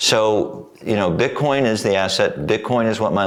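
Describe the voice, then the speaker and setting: A man's speech, moderately paced with ordinary pitch variation, comes through noticeable background noise. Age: 70s. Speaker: painter and former navy pilot. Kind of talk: casual interview chat.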